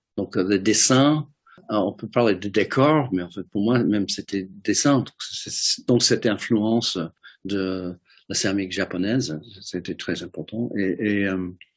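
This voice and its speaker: Against a quiet background, a man with an American accent talks at a fairly low pitch with ordinary pitch variation. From US Midwest, Detroit. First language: English (speaking French). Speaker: ceramic artist. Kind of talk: interview. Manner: halting, many hesitations and repeated words.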